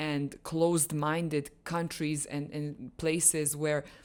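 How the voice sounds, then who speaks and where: A woman's very deep, low voice with a non-native accent, at a fairly slow pace, in a very clean recording with a silent background. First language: not English. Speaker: lifestyle vlogger. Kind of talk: personal monologue vlog. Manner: halting with self-corrections.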